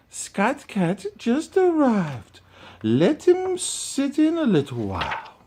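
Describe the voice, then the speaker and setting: A put-on character voice with a high pitch moves at a fairly slow pace. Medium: read story. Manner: gentle, refined.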